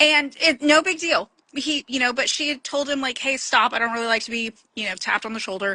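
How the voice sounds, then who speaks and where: A woman's raised, projected voice, high in pitch, at a fairly quick pace, with a dry, close sound and no echo. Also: ordinary pitch variation. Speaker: podcast host. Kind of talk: casual chat.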